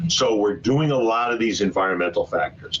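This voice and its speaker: With noticeable background noise behind him, a man speaks in an American accent. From Brooklyn, New York City. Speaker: physician and hospital executive. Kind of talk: webinar presentation. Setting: online webinar. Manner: fast.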